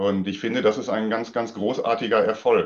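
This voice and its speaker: Here a man speaks at a moderate pace. His pitch is medium. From Sauerland, western Germany. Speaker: tennis club official. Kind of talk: casual chat. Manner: halting.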